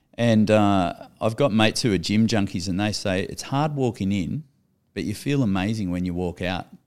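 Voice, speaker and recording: A man with an Australian accent speaks at a moderate pace, his pitch fairly low with ordinary variation. The recording is very clean, with a silent background. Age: 40s. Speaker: professional surfer and businessman. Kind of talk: casual chat.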